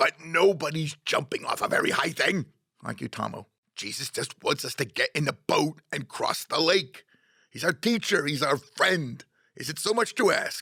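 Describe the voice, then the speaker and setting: Using a put-on character voice, a man speaks high and raspy in a dry, close sound with no echo. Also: moderate pace. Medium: read story.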